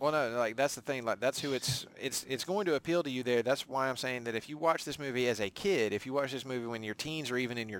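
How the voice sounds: A man at a fast pace, medium-pitched, with ordinary pitch variation and a fairly bright tone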